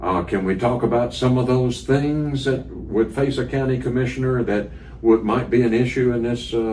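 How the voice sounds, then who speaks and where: Speaking at a moderate pace, a man uses medium pitch and fairly even intonation. Audible room echo and noticeable background noise are present. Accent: American. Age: 70s. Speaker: radio interviewer. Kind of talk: candidate interview.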